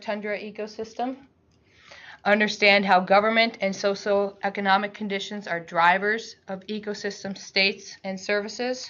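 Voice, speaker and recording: Monotone and flat in intonation, a woman talks at a moderate pace. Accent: American. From Alaska. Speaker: researcher. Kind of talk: lecture.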